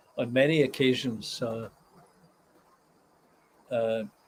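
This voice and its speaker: The speaker has a Scottish accent and a fairly even intonation. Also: man. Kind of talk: casual live stream talk to viewers.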